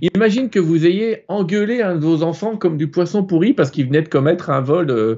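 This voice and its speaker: Talking at a very fast pace, the man has a fairly high pitch that moves in very wide swings. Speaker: author and spiritual channeler. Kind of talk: live interview, explaining. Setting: live online broadcast.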